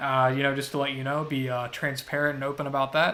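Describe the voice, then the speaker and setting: This man talks at a very fast pace, his tone bright and sharp and his pitch fairly high. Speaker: artist streamer. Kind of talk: casual live stream chat. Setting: live stream. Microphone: audio output issue at start.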